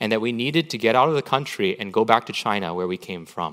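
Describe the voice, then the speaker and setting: A man with a Canadian accent has a normal speaking voice at medium pitch, with lively intonation. The recording is very clean, with a silent background. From Canada, Vancouver. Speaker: pastor. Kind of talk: sermon. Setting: church.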